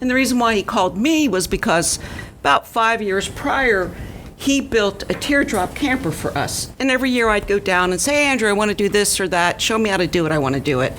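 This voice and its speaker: Over noticeable background noise, a woman with a fairly high pitch speaks fairly quickly, her pitch swinging very widely while her loudness stays very even. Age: 60s. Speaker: small business owner, camper builder. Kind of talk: casual chat.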